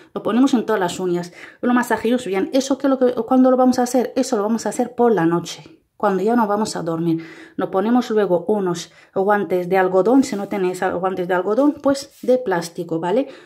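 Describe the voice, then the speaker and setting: A woman's dark, mellow voice at a fairly quick pace with lively intonation, set against a quiet background. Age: 30s. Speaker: beauty vlogger; beauty tips vlogger. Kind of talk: tutorial. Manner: halting.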